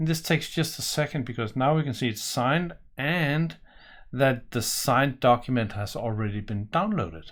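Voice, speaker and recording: Over a quiet background, a man with a Danish accent talks at a moderate pace with lively intonation. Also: medium pitch for a man. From Denmark. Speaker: software presenter; software demonstrator. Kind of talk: tutorial. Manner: casual, with fillers. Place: home room.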